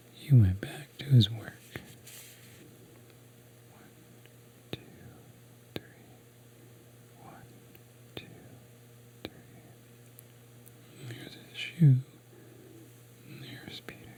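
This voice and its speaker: A man whispers at a very slow pace, leaving long, frequent pauses. His loudness swings widely, and there is noticeable background noise. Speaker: asmr creator. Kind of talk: asmr bedtime story reading. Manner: soft-spoken, whispered.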